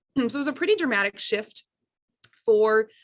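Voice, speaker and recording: A woman is heard against a quiet background. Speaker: school principal. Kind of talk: conference presentation. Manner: fast.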